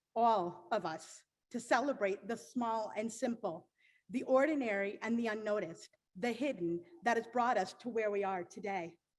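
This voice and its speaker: This woman has an ordinary speaking voice, fairly high in pitch, with ordinary pitch variation and a moderate pace. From Pennsylvania, Lancaster. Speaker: graduating student. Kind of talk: graduation speech. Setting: commencement ceremony with audience.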